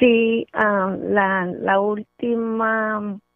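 A woman is talking. Her intonation stays fairly even. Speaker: caller, host's sister. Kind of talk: phone-in call. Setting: phone call.

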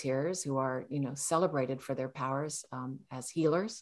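A woman's voice moves at a moderate pace. Behind her the background is quiet. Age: 60s. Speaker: novelist and Zen priest. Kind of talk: dharma talk. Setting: video call. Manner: hesitant, many fillers.

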